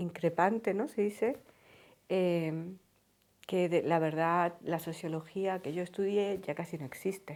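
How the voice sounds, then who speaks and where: At a fairly slow pace, a woman with an unremarkable speaking voice talks fairly low in pitch with ordinary pitch variation, on a very clean recording with a silent background. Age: 40s. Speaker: sociologist. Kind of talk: documentary interview.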